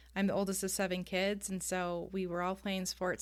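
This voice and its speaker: A woman with a Californian accent speaks at a moderate pace and a medium pitch, on a very clean recording with a silent background. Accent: General American (Californian). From US West Coast, San Diego, California. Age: 30s. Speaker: ADHD life coach and youth soccer coach. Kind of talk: podcast interview.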